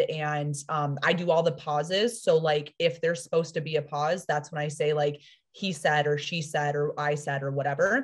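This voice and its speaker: Some breathiness runs through the voice. Around it, the background stays quiet. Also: woman. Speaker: fiction writer and publisher. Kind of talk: casual interview chat. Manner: fast.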